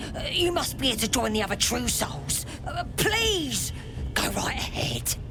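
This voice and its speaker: The speaker uses a put-on character voice. Loud background noise is heard behind it. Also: moderate pace. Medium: machinima. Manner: rough, slangy.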